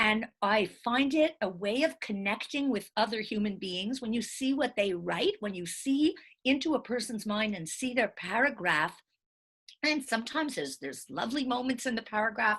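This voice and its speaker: A normal speaking voice from a woman, fairly high in pitch, with lively intonation at a moderate pace against a quiet background. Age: 60s. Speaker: writer and college teacher. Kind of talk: interview monologue.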